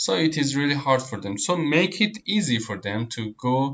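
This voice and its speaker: In a Persian accent, a man speaks at a moderate pace with a fairly high pitch and lively intonation. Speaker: online tutor. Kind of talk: tutorial. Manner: hesitant, many fillers and repeats.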